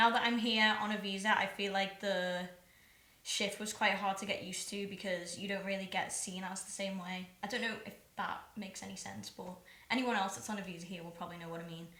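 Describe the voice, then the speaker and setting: Recorded with audible room echo and noticeable background noise, a woman speaks with fairly even intonation but big swings in loudness. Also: medium pitch for a woman, fairly quick pace. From Liverpool, England. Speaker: singer-songwriter. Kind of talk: casual chat.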